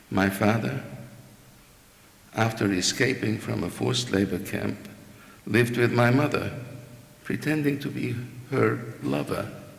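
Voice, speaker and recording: Against audible room echo, a man with a medium pitch speaks with lively intonation and long, frequent pauses. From Hungary, Budapest. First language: Hungarian. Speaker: Holocaust survivor. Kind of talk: testimony. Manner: formal.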